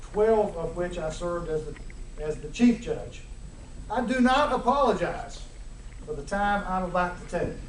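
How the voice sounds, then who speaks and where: With an American accent, a man talks at a moderate pace with long, frequent pauses, over noticeable background noise and audible room echo. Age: 60s. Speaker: judge. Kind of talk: formal speech. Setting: ceremony with audience. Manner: hard to understand at times.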